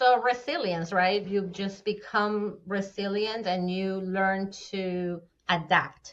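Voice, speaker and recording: A woman with a Spanish accent, medium in pitch, with fairly even intonation and a very slow pace. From Venezuela. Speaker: fractional CFO. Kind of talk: podcast interview answer.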